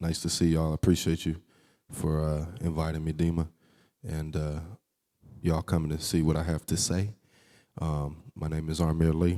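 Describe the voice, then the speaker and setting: In a Texas accent, a man with a very deep, low pitch and a dark, mellow tone speaks at a moderate pace with monotone, flat intonation. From Texas, Houston. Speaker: jazz saxophonist and music educator. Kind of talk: public talk.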